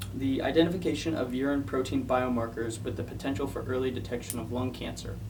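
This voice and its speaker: A man talks at a fairly quick pace in a medium pitch. Noticeable background noise can be heard. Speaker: science paper reviewer. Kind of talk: casual science explainer to camera. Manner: hesitant, with stutters.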